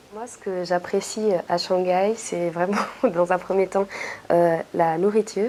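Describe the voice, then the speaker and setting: Noticeable background noise sits behind speech delivered at a fairly slow pace with fairly even intonation. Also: woman. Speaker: intern. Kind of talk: interview. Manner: hesitant, many fillers.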